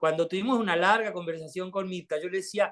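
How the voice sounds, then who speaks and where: This is a man's voice. His pitch is high. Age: 60s. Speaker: artist. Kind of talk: talk and discussion.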